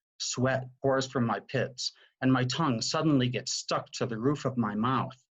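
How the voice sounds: The text comes out in a natural reading voice.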